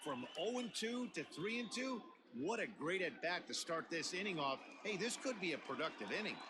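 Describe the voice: In a put-on character voice, a man speaks at a moderate pace and high pitch, his tone bright and sharp, with big pitch swings.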